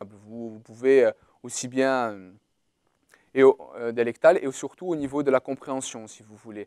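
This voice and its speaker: A man with a Portuguese accent speaks at a fairly slow pace, with long, frequent pauses and a medium pitch. His tone is dark and mellow, and the sound is dry and close with no echo. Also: ordinary pitch variation, big swings in loudness. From Corsica. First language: Portuguese (speaking French). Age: 20s. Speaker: university student. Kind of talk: testimony. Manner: halting.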